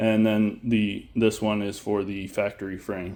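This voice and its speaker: Here a man is speaking. His pitch is medium. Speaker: vlogger building an off-road Jeep. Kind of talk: unscripted tutorial walkthrough. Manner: halting, with fillers and stutters.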